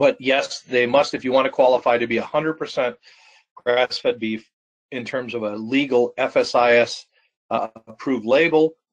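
A man with an American accent, fairly even intonation and a fairly slow pace against a quiet background. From Wisconsin. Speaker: farmer and co-op manager; webinar presenter. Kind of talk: webinar presentation. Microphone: video call.

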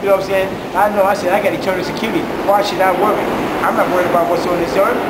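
A man speaks at a very fast pace while loud background noise fills the clip. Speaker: street preacher. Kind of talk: interview answer. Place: station. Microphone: phone near.

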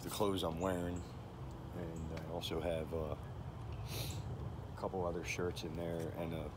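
Loud background noise surrounds a man talking at a fairly slow pace. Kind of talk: casual vlog chat. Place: forest. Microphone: phone near.

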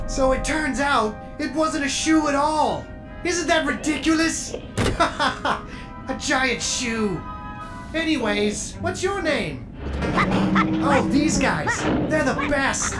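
A put-on character voice at a very slow pace over loud music in the background. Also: female-sounding voice. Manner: chipper, naive, warm.

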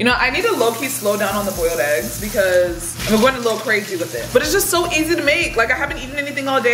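Over clear background noise, a woman talks at a very fast pace with few pauses, lively intonation and a fairly high pitch.

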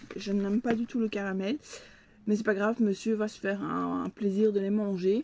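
A woman's medium-pitched voice holds a monotone, flat intonation at a moderate pace. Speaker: book and box unboxing vlogger. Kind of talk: unboxing video, casual monologue to camera. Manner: chatty, friendly, somewhat halting.

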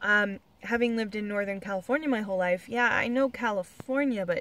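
At a moderate pace, a woman speaks with ordinary pitch variation in a dry sound with no echo. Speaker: car-living traveler vlogger. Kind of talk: casual vlog chat. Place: car. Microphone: phone near.

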